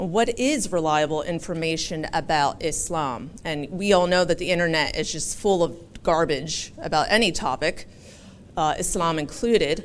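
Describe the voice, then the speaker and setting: A woman speaks at a moderate pace in an American accent. Her pitch varies in an ordinary way. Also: fairly low pitch for a woman. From Philadelphia, US. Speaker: interfaith community organizer. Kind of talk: public talk. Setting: live event with audience.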